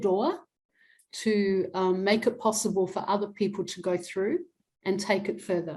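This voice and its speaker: The voice has an Australian accent and is somewhat breathy. The recording is very clean, with a silent background. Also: woman. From Adelaide, South Australia. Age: 60s. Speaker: academic and activist. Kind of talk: interview.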